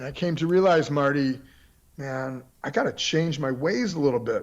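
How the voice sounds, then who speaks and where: A man with an American accent speaks at a fairly high pitch and a moderate pace, in a normal speaking voice. His pitch variation is ordinary. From Florida. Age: 60s. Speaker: periodontist and martial artist. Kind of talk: podcast interview.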